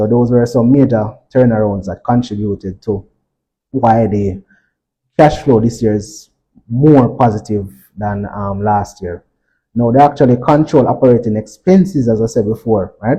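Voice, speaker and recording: A man talks at a medium pitch and a moderate pace, his tone dark and mellow. His voice is somewhat breathy, with ordinary pitch variation. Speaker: stock market analyst presenter. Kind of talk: financial presentation.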